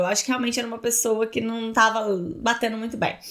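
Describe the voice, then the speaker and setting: A woman's fairly high pitch comes through on a very clean recording with a silent background. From Brazil. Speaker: immigration lawyer. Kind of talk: casual talk to camera.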